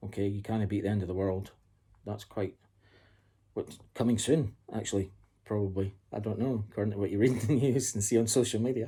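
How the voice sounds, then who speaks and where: This man's fairly low, somewhat breathy voice has a dark, mellow tone. He keeps a fairly quick pace and fairly even intonation. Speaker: book reviewer. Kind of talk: casual talk to camera. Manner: breathless.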